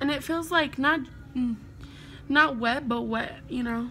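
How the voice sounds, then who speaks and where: A woman's raised, projected voice at a high pitch, bright and sharp in tone, at a very slow pace with fairly even intonation and audible room echo. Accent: American. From United States. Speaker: beauty vlogger. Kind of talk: casual chat.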